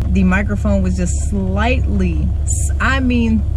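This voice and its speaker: With noticeable background noise behind him, a man speaks in a very deep, low pitch with fairly even intonation. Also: dry sound with no echo. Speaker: car reviewer. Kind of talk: casual vlog chat. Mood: frustrated, annoyed. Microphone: camera far.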